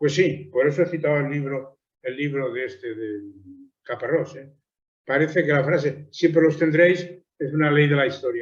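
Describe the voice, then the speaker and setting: In audible room echo, a man speaks in a somewhat breathy voice at fairly high pitch, with big swings in loudness. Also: fairly even intonation, moderate pace. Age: 80s+. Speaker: theologian and lecturer. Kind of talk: lecture.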